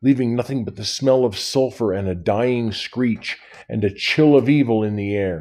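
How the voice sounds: Ordinary pitch variation runs through a natural reading voice.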